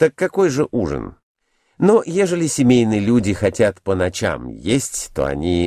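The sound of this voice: Against a quiet background, an unforced reading voice reads.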